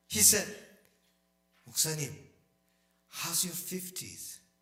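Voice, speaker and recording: A man with vocal fry and a bright, sharp tone speaks at a very slow pace. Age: 60s. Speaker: pastor. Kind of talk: sermon. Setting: church. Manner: halting.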